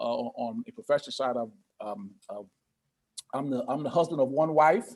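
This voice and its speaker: This man has an American accent and a fairly high pitch, speaking at a moderate pace. His pitch swings very widely and his loudness shifts a lot. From Connecticut, US Northeast. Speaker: pastor and financial coach. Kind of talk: interview.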